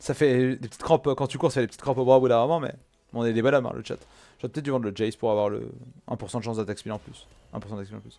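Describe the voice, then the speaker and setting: A man speaks at a very fast pace in a dark, mellow tone, with ordinary pitch variation. Long, frequent pauses and big swings in loudness mark his delivery. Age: 20s. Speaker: gaming streamer. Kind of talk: casual gameplay commentary chatting with viewers; casual live-stream commentary to chat. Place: home room.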